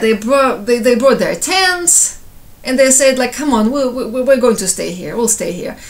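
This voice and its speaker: With a Ukrainian accent, a woman speaks at a high pitch over noticeable background noise. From Ukraine, Kyiv. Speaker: civilian giving personal account. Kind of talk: personal testimony. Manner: halting, with repetitions.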